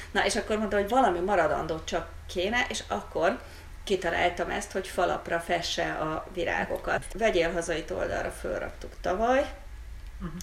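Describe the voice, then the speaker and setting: Audible echo from the room around a woman speaking at a middling speed. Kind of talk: casual chat.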